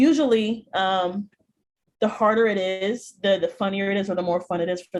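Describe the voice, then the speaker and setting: Her pitch is medium, and the woman talks at a moderate pace with ordinary pitch variation. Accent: American. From US Midwest, Chicago. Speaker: speech and debate coach. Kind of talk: workshop presentation. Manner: many vocal fillers.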